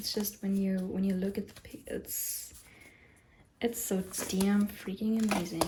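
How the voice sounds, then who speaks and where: Over noticeable background noise, a woman with a non-native accent talks at a fairly slow pace and a medium pitch. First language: not English. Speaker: tarot reader YouTuber. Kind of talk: casual vlog talk. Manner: halting, many fillers and restarts.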